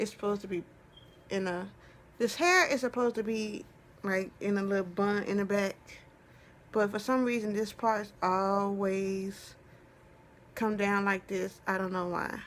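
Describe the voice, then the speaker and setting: A woman talks at a medium pitch and a fairly slow pace. Her intonation stays fairly even, with long, frequent pauses. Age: 20s. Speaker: vlogger. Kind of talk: casual vlog talk.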